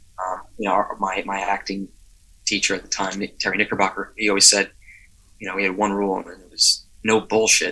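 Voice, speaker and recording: A man speaks at a fairly quick pace, fairly low in pitch, with a bright, sharp tone. His intonation stays monotone and flat, though his loudness swings a lot. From New Jersey. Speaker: actor. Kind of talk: interview. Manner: halting.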